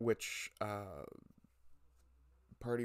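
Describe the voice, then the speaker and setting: A soft-spoken man's fairly low voice in a monotone, flat intonation, on a very clean recording with a silent background. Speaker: livestream host. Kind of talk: casual livestream commentary. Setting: livestream. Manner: quiet. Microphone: too quiet, mic moved closer.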